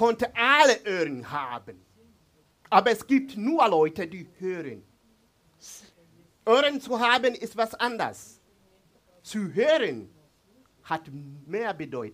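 A man with a high voice talks at a fairly slow pace, his pitch swinging very widely between long, frequent pauses. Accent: East African. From Tanzania. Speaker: pastor. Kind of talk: sermon. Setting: church. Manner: halting.

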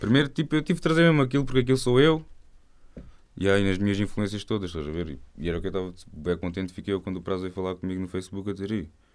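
At a very fast pace, a man with a fairly low voice speaks with very wide pitch swings. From Algarve, Portugal. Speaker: rapper. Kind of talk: casual interview. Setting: radio studio.

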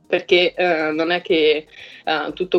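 Music plays in the background as a woman talks at a fairly low pitch. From southern Italy, near Salerno. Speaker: HR director and mentor. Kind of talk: mentoring talk to an online group. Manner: halting, many fillers.

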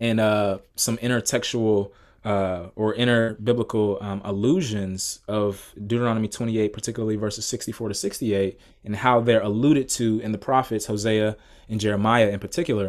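In a normal speaking voice with an American accent, the speaker moves at a fairly quick pace with fairly even intonation. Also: man, fairly low pitch for a man, very clean recording, silent background. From US South, Atlanta, Georgia. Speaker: PhD student and Bible podcaster. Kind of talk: casual interview.

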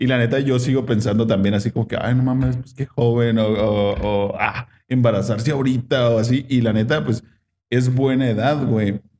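He has an unremarkable speaking voice, pitched in the medium range for a man. His intonation is fairly even, and his pace is moderate. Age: 20s. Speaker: podcast host. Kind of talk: casual chat.

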